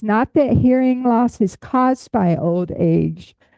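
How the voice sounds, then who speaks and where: The speaker moves at a very slow pace with lively intonation. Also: woman. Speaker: butterfly enthusiast, hearing access advocate. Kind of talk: lecture. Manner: projecting voice loudly.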